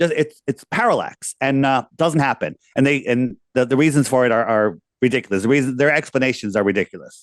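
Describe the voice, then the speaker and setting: A man with a medium pitch and ordinary pitch variation, animated in tone, at a fairly quick pace with very even loudness, in a dry, close sound with no echo. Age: 60s. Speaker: flat earth proponent. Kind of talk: casual discussion.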